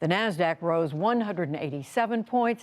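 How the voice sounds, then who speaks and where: A woman's unremarkable speaking voice, fairly low in pitch, with lively intonation at a moderate pace, on a very clean recording with a silent background. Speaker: television news presenter. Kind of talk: broadcast news wrap read.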